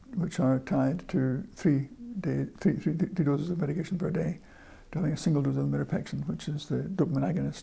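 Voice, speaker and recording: At a fairly quick pace, a man talks with vocal fry in a fairly high pitch. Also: ordinary pitch variation. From northern England. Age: 60s. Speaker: person living with Parkinson's disease. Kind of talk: interview. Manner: halting, frequent repetitions.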